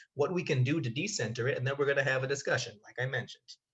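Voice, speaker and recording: Here a man speaks at a very fast pace. His voice sits at medium pitch with ordinary pitch variation. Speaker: educator and doctoral student. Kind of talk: conference presentation.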